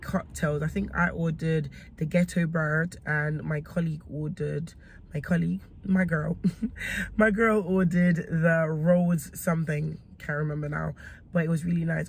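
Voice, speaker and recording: With a very deep, low pitch, a woman speaks somewhat breathily at a moderate pace, in a dry sound with no echo. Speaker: food vlogger. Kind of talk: casual vlog chat. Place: car. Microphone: phone near.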